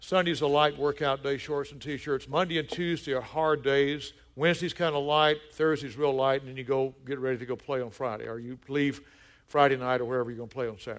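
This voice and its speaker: A very clean, silent-background recording of a man in a Southern US accent, fairly high in pitch, with big swings in loudness. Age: 60s. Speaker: pastor. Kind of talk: sermon. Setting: church. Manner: animated.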